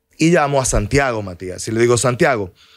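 Lively intonation and vocal fry at a moderate pace, against a quiet background. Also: man. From Dominican Republic. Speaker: lawyer; podcast guest. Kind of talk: interview. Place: studio. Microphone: studio mic.

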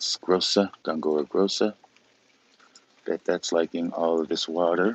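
A man speaks with a very deep, low pitch and fairly even intonation at a fairly slow pace. Long pauses come often, and the sound is dry with no echo. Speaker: orchid grower and video creator. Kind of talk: casual live-stream walkthrough. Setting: outdoors in the rain. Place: garden. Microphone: phone near.

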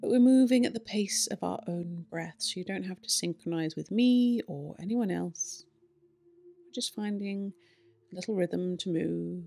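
A woman's dark, mellow voice at a moderate pace, with ordinary pitch variation and big swings in loudness. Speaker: yoga teacher. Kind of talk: guided yoga instruction. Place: home room.

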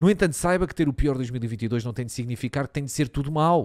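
A man with a European Portuguese accent, at a fairly quick pace. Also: quiet background. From Portugal. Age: 30s. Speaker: streamer; live streamer. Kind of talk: casual live-stream commentary, reacting to and reading an article; casual stream commentary, reading aloud. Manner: animated, casual, with many fillers. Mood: joking, swearing, amused. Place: home room. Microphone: studio mic.

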